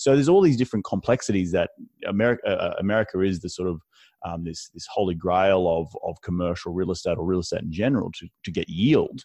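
Against a quiet background, a man with an Australian accent talks at a very fast pace, with big swings in loudness. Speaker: real estate investor. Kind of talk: podcast interview.

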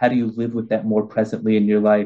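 The tone is dark and mellow. The accent is Californian. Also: man. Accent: Californian American English. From US West Coast, Los Angeles. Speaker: author and spiritual teacher. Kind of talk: interview.

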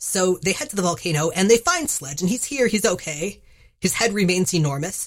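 A somewhat breathy woman's voice at medium pitch, fairly quick, with lively intonation. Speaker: podcast host. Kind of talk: casual banter podcast.

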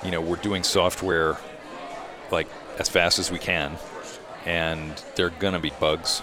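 Speaking with an American accent, a man talks at a fairly slow pace in a very deep, low pitch and a monotone, flat intonation. Long, frequent pauses break his speech, and noticeable background noise runs underneath. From Rhodesia (southern Africa) and Indiana, US. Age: 50s. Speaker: racing simulation software developer. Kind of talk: casual chat. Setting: restaurant dinner.

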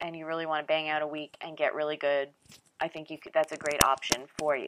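Very deep and low-pitched, a woman with a slight Californian accent speaks at a fairly quick pace. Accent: slight Californian speech. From US East Coast. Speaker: travel podcast host. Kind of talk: casual solo podcast talk. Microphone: bad test microphone, poor sound.

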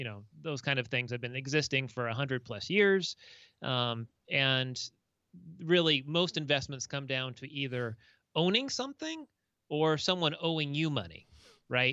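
Here a man speaks with an American accent at a fairly high pitch and ordinary pitch variation. His pace is moderate, broken by long, frequent pauses. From Southern California. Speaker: tax and financial consultant, podcast host. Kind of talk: casual interview.

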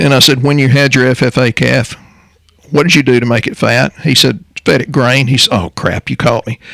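A Texan accent with ordinary pitch variation, in a dry, close sound with no echo. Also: man. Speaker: natural health practitioner co-hosting a health podcast. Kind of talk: casual health talk show. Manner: fast.

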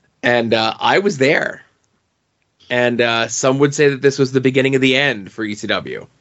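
A man of medium pitch has an unremarkable speaking voice, talking at a moderate pace with ordinary pitch variation. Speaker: wrestling podcast co-host. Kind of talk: casual chat. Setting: studio.

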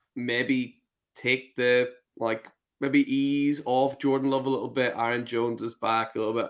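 A man with a Northern Irish accent at medium pitch and a moderate pace. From Northern Ireland. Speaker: fantasy football podcast host. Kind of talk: casual chat.

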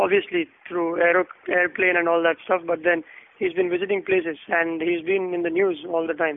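Monotone, flat intonation at a moderate pace, with very even loudness. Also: man, high pitch for a man. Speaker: podcast host. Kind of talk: casual chat about news.

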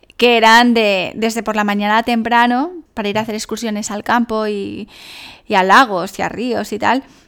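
Speaking at a moderate pace, a woman with an ordinary speaking voice keeps a fairly even intonation at a fairly high pitch. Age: 30s. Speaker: life coach and podcast host. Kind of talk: solo podcast monologue. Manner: casual, chatty.

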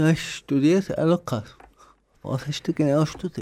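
This man's pitch sits fairly high, and his tone is dark and mellow. He speaks at a fairly slow pace with fairly even intonation. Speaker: community radio host. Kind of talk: radio interview. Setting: radio studio.

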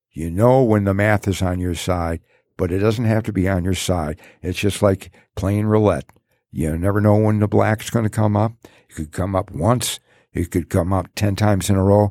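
A dark, mellow tone with fairly even intonation and a Detroit accent, in a very clean recording with a silent background and a dry, close sound with no echo. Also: man, fairly low pitch for a man, moderate pace. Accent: Midwestern American (Detroit). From Detroit, Michigan. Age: 70s. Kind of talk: casual interview storytelling. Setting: in-person studio. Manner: halting, many fillers.

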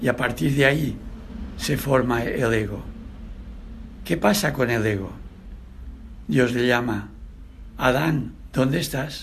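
At a very slow pace, a man of medium pitch speaks with vocal fry and long, frequent pauses. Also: ordinary pitch variation. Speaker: preacher. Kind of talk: sermon. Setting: church.

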